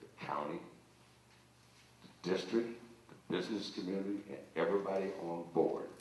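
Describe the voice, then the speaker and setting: Noticeable background noise and audible room echo fill the recording. A male speaker keeps a moderate speed. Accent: American. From northern Ohio, Youngstown. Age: 70s. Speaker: school board candidate. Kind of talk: campaign speech.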